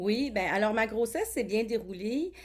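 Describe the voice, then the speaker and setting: A woman talks at a fairly high pitch and a moderate pace in a normal speaking voice. The recording is very clean, with a silent background. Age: 40s. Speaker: college teacher and parent of a child with a rare syndrome. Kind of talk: interview testimony.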